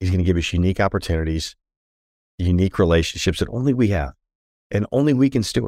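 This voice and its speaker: A dark, mellow voice speaks very fast in an American accent. The recording is very clean and dry, with a close sound, no echo and a silent background. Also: man. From Washington, D.C. area. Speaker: business CEO and former NFL player. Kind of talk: casual interview.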